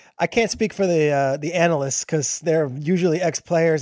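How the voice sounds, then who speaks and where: A fairly high-pitched man with an American accent at a very fast pace, on a very clean recording with a silent background. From New Jersey. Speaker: football TV analyst. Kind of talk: casual chat.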